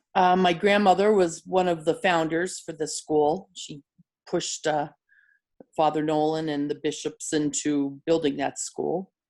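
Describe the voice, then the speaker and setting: A woman with a northeastern Pennsylvania accent speaks at a fairly slow pace with a very deep, low pitch and fairly even intonation. The recording is very clean, with a silent background. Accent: northeastern Pennsylvania American. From northeastern Pennsylvania, Mountaintop. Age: 60s. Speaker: interviewee, local resident. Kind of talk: interview.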